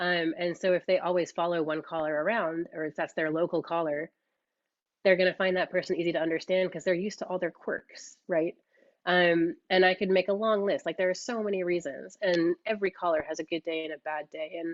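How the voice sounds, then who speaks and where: With an American accent, a woman speaks at a fairly low pitch using fairly even intonation. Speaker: dance caller and workshop teacher. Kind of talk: online workshop discussion. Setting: video call. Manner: casual, many fillers.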